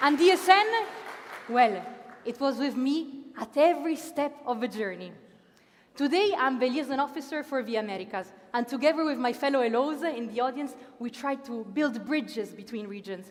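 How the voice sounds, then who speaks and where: A woman with an Italian accent, high pitch, lively intonation and an animated tone, over noticeable background noise. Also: moderate pace. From Italy, Milan. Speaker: master of ceremonies. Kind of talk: opening ceremony speech. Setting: stage with audience.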